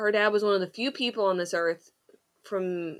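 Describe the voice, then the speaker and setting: Using a normal speaking voice, a woman talks at a fairly quick pace with fairly even intonation. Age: 30s. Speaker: podcast host. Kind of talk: casual chat.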